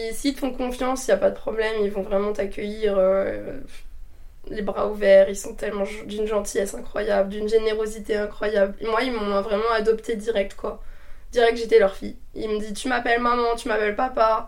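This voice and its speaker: A woman talks with a normal speaking voice at a fairly high pitch. Her pace is moderate and her intonation fairly even. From north-eastern France (Meuse). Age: 20s. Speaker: nurse and traveller. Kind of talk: casual chat. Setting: recorded at her home.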